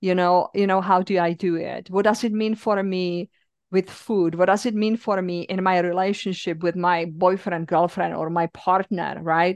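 Speaking at a moderate pace with hardly any pauses, a woman keeps a medium pitch and a monotone, flat intonation. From Czech Republic. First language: Czech. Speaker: yoga teacher and therapist. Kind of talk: casual interview conversation.

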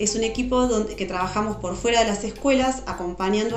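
Over music in the background, a woman talks at a fairly quick pace with ordinary pitch variation, and audible room echo surrounds her voice. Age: 40s. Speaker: educational psychologist. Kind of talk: interview.

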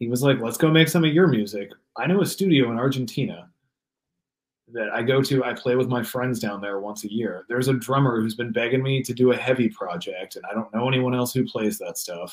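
A man's unremarkable speaking voice, medium in pitch with ordinary pitch variation, at a fairly quick pace. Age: 30s. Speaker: guitarist and singer in metal bands. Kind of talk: casual interview chat.

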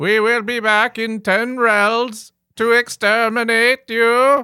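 A man's shrill, put-on character voice, extremely high in pitch and fairly slow, in a very clean recording with a silent background. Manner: monotone.

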